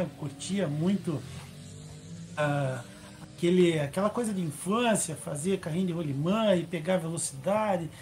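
A man with a high pitch and ordinary pitch variation at a fairly slow pace, music playing in the background. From Brazil, Curitiba. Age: 50s. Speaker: para-athlete and racing driver. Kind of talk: interview. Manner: halting.

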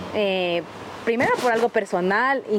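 A woman with a Quito accent speaks at a moderate pace, her fairly high voice carrying lively intonation. Noticeable background noise runs behind her. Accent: Quito Ecuadorian Spanish. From Ecuador, south Quito. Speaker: photographer. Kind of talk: casual chat.

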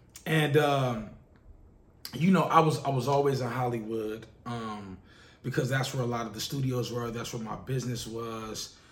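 A man talks in fairly even intonation, with big swings in loudness. Audible room echo is heard around his voice. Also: medium pitch for a man, moderate pace. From Los Angeles, South Central. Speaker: podcast host, music industry. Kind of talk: monologue. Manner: casual, filler-heavy.

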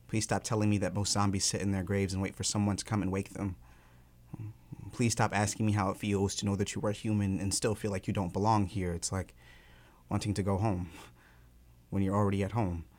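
A man with a fairly low voice and an American accent, very fast speech broken by long, frequent pauses, and flat, monotone intonation. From Georgia, US South. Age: 20s. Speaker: touring spoken word poet. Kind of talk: poetry performance; casual interview chat. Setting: radio studio.

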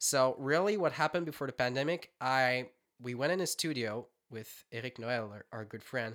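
This man has a French Canadian accent and a medium pitch, heard on a very clean recording with a silent background. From Quebec. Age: 20s. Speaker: singer-songwriter musician. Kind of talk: casual interview chat. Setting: home studio.

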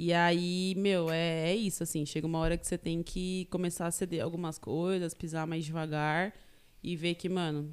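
Recorded very cleanly against a silent background, a woman with an ordinary speaking voice talks at a fairly low pitch with ordinary pitch variation. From Greater São Paulo, Taboão da Serra. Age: 20s. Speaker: university student. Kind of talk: casual chat.

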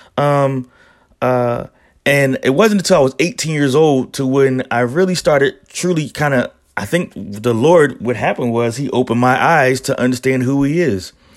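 With an American accent, a man talks at a medium pitch and ordinary pitch variation. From Philadelphia. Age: 30s. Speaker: podcast host. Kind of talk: casual religious monologue. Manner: halting.

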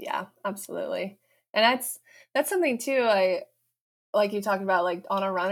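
In a very clean recording with a silent background, an unremarkable speaking voice comes through with an American accent. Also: woman. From Colorado, US. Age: 30s. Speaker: runner and PhD student. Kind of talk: casual interview.

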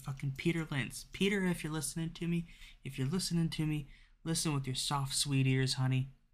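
In a very clean recording with a silent background, a man with a normal speaking voice talks fairly quickly at a fairly high pitch. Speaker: podcaster reading a textbook aloud. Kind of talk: angry rant, sarcastic tirade at the textbook author, swearing; casual solo reading of a textbook with commentary. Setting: solo home recording, raw and unedited. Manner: exasperated, sarcastic, loud and worked up; casual, rambling, self-deprecating.

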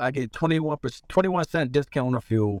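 Recorded in a dry, close sound with no echo, a man with an American accent talks at a very fast pace with ordinary pitch variation. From US Northeast (Philadelphia). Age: 40s. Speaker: truck driver and inventor. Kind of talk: casual interview. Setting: video call from his tow truck.

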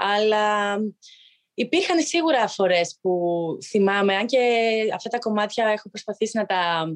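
A woman at medium pitch, with ordinary pitch variation, has an unremarkable speaking voice. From Greece, village in Arta. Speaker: professional handball player. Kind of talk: interview.

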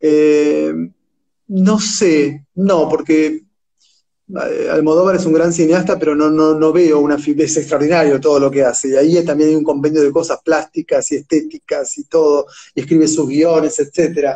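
A man's fairly high voice, monotone and flat, at a moderate pace with very even loudness. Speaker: literature scholar and translator. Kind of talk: interview. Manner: halting, repeats words.

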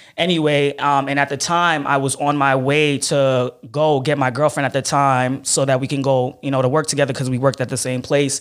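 At a fairly quick pace, a man speaks in a monotone, flat intonation with a fairly high pitch. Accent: Brooklyn. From Brooklyn, New York (Flatbush), Haitian immigrant parents. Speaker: ad sales professional and social media influencer. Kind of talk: casual interview chat.

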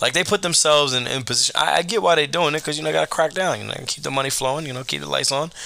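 Ordinary pitch variation marks the voice, with noticeable background noise behind it. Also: man. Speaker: podcast host. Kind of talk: casual commentary. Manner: casual, rambling delivery.

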